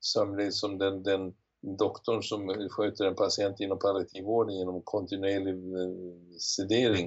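A man talks at a moderate pace with a fairly low pitch. His intonation is monotone and flat. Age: 70s. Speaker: retired physician and professor. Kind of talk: interview. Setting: remote recording.

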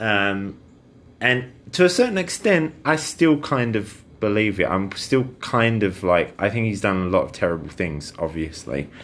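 A man with a fairly low-pitched voice speaks with very wide pitch swings. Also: fairly slow pace. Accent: British. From Britain. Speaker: podcast co-host. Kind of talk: casual chat.

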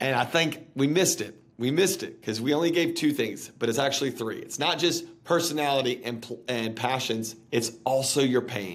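The speaker has a normal speaking voice, talking at a moderate pace with hardly any pauses and ordinary pitch variation. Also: man, medium pitch for a man. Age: 30s. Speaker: pastor and author. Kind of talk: interview.

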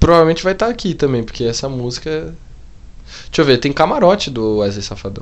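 Very fast, animated speech from a man, fairly high-pitched, with very wide pitch swings. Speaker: podcast co-host. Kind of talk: casual chat.

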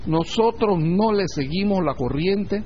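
The speaking pace is very slow. Room echo is audible. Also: man. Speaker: spiritual teacher. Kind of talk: lecture. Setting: online audio class.

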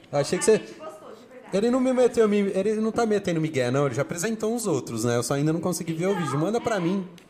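A man talks at a very fast pace in a high voice, his pitch swinging very widely. Noticeable background noise runs underneath. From Brazil, family from Bahia. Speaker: public speaking teacher and HR worker. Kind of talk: casual interview.

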